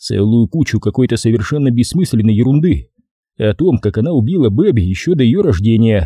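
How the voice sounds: Lively intonation in a natural reading voice, quiet background behind it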